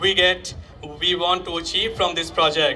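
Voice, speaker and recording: A man's voice comes through with noticeable noise behind it and audible echo from the room. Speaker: youth organisation founder. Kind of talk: public speech. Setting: stage with audience. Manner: halting.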